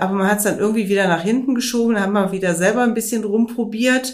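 This woman's speech shows ordinary pitch variation, with audible echo from the room. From Rhineland, western Germany (Wermelskirchen). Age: 50s. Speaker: weight-loss client. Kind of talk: interview.

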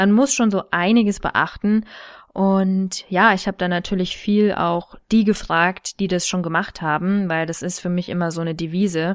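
A woman talks at a moderate pace and medium pitch in an unremarkable speaking voice, with fairly even intonation. The recording is very clean, with a silent background. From Thuringia, Germany. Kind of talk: casual interview.

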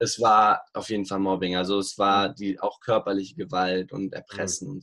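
This man's voice has a fairly low pitch. His tone is bright and sharp. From Bavaria, Munich. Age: 20s. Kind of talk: interview. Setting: remote call.

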